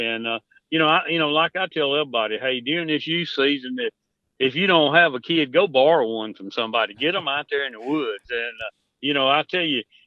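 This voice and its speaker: With a rural Southern US accent, a man at a fairly high pitch talks at a very fast pace with ordinary pitch variation. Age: 60s. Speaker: turkey hunting expert. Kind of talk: casual chat.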